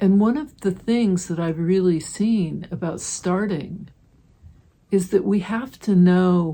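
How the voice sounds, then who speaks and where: On a very clean recording with a silent background, a woman speaks fairly slowly in a medium pitch with ordinary pitch variation, a dark, mellow, warm tone and somewhat breathy delivery. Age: 60s. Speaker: mixed media artist. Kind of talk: tutorial. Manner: warm, reflective.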